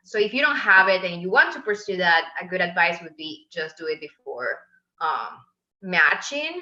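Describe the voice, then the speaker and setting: A woman with a Venezuelan accent, medium pitch, very wide pitch swings, big swings in loudness and a moderate pace. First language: Spanish. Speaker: medical resident. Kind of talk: interview.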